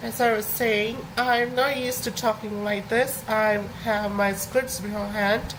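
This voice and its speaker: A woman talks at a moderate pace in a room with audible echo. Noticeable background noise sits behind her. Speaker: animation streamer. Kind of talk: casual live stream talk. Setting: live stream. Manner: halting, many fillers.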